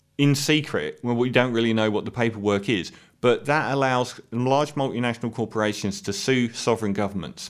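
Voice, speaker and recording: A man with a British accent at medium pitch and moderate pace, on a very clean recording with a silent background. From UK. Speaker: political commentator. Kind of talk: monologue rant.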